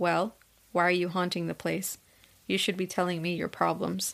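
On a very clean recording with a silent background, a woman puts on a shaky character voice, fairly low in pitch, at a moderate pace. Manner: trembling, frightened.

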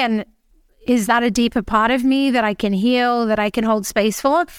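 A woman speaks at a moderate pace with a fairly high pitch and fairly even intonation, on a very clean recording with a silent background and a dry, close sound with no echo. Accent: Australian. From Australia. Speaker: empowerment mentor and podcaster. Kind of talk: casual interview chat.

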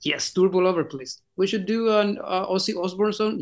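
Speaking at a fairly quick pace, a man talks with a Spanish accent. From Chile. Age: 40s. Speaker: rock singer. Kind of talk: interview. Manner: halting.

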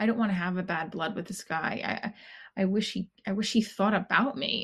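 A woman speaks very fast at a medium pitch, somewhat breathy, with fairly even intonation. The background is quiet. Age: 40s. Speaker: podcast host and comedian. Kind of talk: personal monologue; stand-up. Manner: halting.

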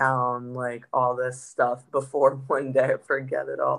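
A woman's very deep, low-pitched voice. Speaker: professional golfer. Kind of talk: interview. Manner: talkative.

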